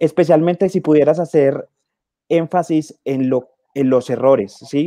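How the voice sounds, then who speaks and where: A man's dark, mellow tone at a fairly high pitch, with ordinary pitch variation over a quiet background. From Colombia. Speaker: conservation biologist, guest moderator; guest. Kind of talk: panel Q&A moderation. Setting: video call. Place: home room. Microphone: earbuds.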